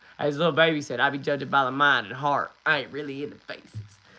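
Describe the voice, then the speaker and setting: A man with an American accent talks at a fairly quick pace. His voice is fairly high in pitch, with a bright, sharp tone. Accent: Southern rural accent, noticed by others. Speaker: livestreamer. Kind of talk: casual chat. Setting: livestream. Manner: animated.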